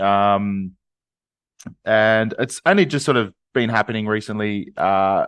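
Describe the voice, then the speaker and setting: Against a quiet background, a man with an Australian accent talks at a fairly slow pace in a medium pitch, the sound dry and close with no echo. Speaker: podcast co-host. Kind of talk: casual chat. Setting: video call. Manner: hesitant, many fillers. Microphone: new microphone.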